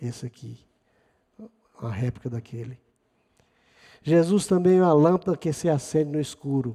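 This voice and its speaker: With a dark, mellow tone and fairly high pitch, a man speaks at a moderate pace with ordinary pitch variation and long, frequent pauses. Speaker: preacher. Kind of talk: sermon. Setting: church. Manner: animated, rhetorical, with rhythmic repetition and praise interjections; conversational, addressing congregation directly.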